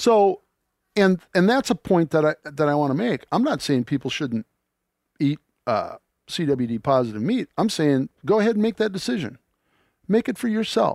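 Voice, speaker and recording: In a very clean recording with a silent background and a dry, close sound with no echo, a man with a high pitch makes very wide pitch swings and takes long, frequent pauses. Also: moderate pace. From US Midwest. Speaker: landowner and hunting host. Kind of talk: casual chat.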